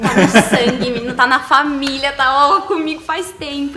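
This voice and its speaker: Music plays in the background as a woman talks at a moderate pace in a high pitch. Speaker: voice actor (dubbing) and actress. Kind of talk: interview answer.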